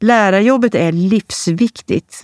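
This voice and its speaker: An ordinary speaking voice at a fairly slow pace, dry and close with no echo. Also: woman. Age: 40s. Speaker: columnist. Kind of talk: reading aloud of own columns.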